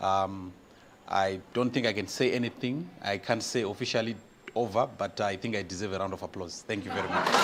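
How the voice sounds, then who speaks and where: A man's fairly low voice at a fairly quick pace with fairly even intonation, over noticeable background noise. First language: not English. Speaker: master of ceremonies. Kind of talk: ceremony speech.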